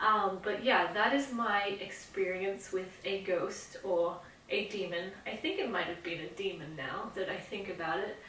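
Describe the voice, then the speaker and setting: Against noticeable background noise, a woman speaks at a medium pitch and a fairly slow pace. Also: ordinary pitch variation. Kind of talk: casual talk to camera; personal ghost story storytelling.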